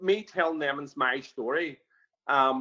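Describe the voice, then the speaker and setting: The speaker is male. His accent is Irish. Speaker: barber and prison volunteer trainer. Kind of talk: webinar interview. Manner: halting, many fillers.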